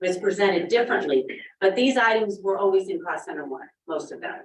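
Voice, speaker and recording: A woman's medium-pitched voice with lively intonation. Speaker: school administrator presenting budget. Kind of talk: public meeting budget presentation. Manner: loud.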